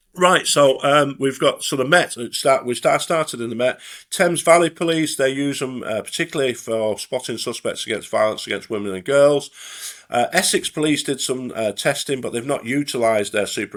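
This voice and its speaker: Here a man speaks in a Lancashire accent at a medium pitch with ordinary pitch variation. The recording is very clean, with a silent background. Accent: Bolton. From northern England, Bolton. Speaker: retired police detective, forensic identification expert. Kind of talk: podcast interview. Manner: halting, many fillers and restarts.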